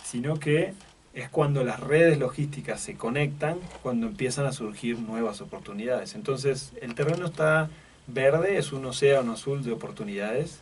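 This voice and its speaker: A man speaks at a fairly high pitch with an Argentine accent. Noticeable background noise and audible room echo surround him. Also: ordinary pitch variation, moderate pace. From Argentina. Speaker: logistics executive. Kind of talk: radio interview. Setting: radio studio. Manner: halting, many repetitions and fillers.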